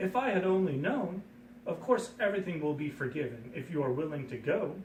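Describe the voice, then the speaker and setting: Using a put-on character voice, a man speaks at a fairly quick pace in a high pitch over clear background noise. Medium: read story.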